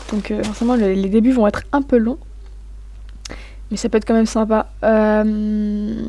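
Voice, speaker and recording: Over noticeable background noise, a woman speaks in a fairly high pitch with monotone, flat intonation, at a fairly slow pace with long, frequent pauses. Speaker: gaming YouTuber. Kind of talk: gameplay commentary. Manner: hesitant, many fillers.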